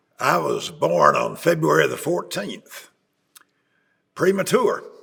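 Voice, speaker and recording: Speaking with an Appalachian accent, a man talks at a very slow pace. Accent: Southern US (Appalachian). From East Tennessee / Holston region, US South. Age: 80s+. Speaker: retired bishop. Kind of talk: interview. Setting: sit-down interview in Chattanooga.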